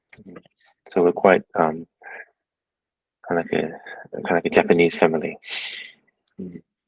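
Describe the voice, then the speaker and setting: A man with an Australian accent at a moderate pace, with long, frequent pauses and big swings in loudness. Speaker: tattoo artist. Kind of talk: casual chat. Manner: halting.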